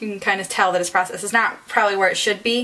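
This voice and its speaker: Her voice sits fairly high for a woman. The room adds audible echo around it. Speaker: beauty vlogger. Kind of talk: tutorial. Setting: bathroom at home. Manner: casual, hesitant with ums.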